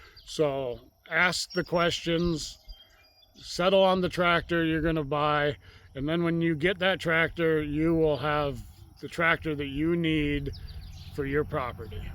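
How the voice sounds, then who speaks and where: The speaker moves at a fairly slow pace. It is an unremarkable speaking voice. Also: man, fairly high pitch for a man, fairly even intonation. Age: 60s. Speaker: rural channel host, tractor owner. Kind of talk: casual outdoor vlog talk. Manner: relaxed, conversational with fillers.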